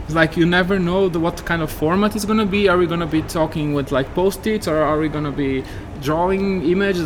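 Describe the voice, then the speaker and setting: With a Portuguese accent, a man talks at a fairly quick pace in a high pitch. Noticeable background noise is present. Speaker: game industry professional. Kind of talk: interview. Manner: hesitant with many fillers.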